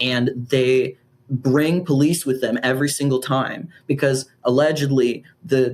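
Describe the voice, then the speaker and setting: Fairly high in pitch, a man talks in an animated tone. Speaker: activist. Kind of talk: casual interview.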